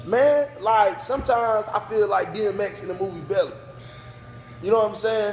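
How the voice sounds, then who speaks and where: A loud, high-pitched man with ordinary pitch variation over noticeable background noise. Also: moderate pace. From North Carolina (New Bern). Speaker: business owner. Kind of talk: casual interview. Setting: sports bar.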